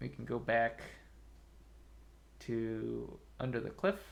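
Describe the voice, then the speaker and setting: A soft-spoken man with big swings in loudness and long, frequent pauses. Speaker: game streamer. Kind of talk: casual gameplay commentary. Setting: live stream.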